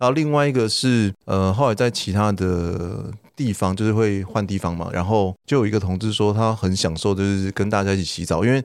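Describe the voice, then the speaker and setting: On a very clean recording with a silent background, a man talks at a fairly quick pace with hardly any pauses. His pitch is fairly low, with ordinary variation. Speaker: host's older brother, guest. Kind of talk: casual chat.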